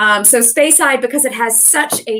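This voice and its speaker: A woman with a plain, everyday voice, ordinary pitch variation and a moderate pace. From Canada. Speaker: whisky brand ambassador. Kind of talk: casual interview chat.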